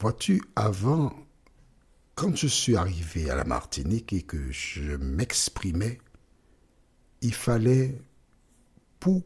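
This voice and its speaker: A man talks at a very slow pace in a somewhat breathy voice. His pitch swings very widely. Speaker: bible teacher. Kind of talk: bible teaching. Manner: slow, deliberate; pauses often.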